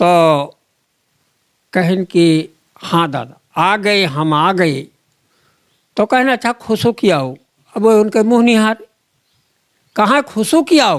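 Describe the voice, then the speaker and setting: Long, frequent pauses run through a very clean recording with a silent background and a dry, close sound with no echo. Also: man. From Ayodhya region, Uttar Pradesh. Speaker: folk poet. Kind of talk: interview answer.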